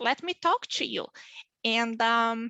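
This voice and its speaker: Using a raised, projected voice, a woman speaks in a bright, sharp tone with very wide pitch swings. The sound is dry and close, with no echo. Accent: Brazilian. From southern Brazil, small town. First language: Portuguese. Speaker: physician working in pharma. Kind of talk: panel interview.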